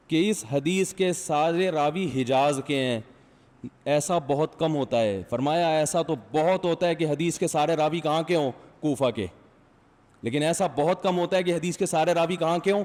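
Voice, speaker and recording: With an unremarkable speaking voice, a man talks at a fairly high pitch, showing ordinary pitch variation and very even loudness. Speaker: Islamic scholar, preacher. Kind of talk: Friday sermon. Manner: conversational, questions the audience.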